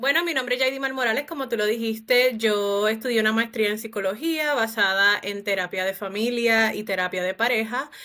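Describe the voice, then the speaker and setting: With a Puerto Rican accent, a woman speaks in a bright, sharp tone at a fairly quick pace with hardly any pauses, on a very clean recording with a silent background. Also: ordinary pitch variation. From Puerto Rico. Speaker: psychologist. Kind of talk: podcast interview.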